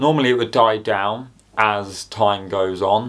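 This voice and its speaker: The speaker has an English accent and uses ordinary pitch variation. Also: man. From England. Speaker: YouTuber. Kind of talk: casual commentary to camera. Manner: hesitant, many fillers.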